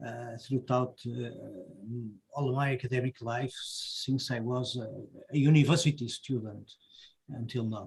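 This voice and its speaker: A man with a Portuguese accent speaks at a medium pitch in a somewhat breathy voice, with monotone, flat intonation, a fairly slow pace and long, frequent pauses. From Portugal, Porto. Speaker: professor. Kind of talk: panel discussion.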